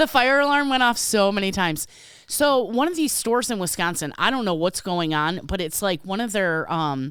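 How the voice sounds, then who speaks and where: A woman with an Illinois accent speaks at a moderate pace and medium pitch, animated in tone with very wide pitch swings. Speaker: podcast co-host, retail worker. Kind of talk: casual chat.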